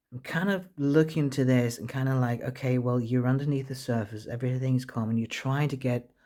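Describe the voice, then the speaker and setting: A man with a non-native accent speaks at a fairly quick pace in a medium pitch, his dark, mellow tone carried by fairly even intonation. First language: not English. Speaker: tarot reader. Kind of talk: tarot reading monologue. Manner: halting, frequent self-corrections.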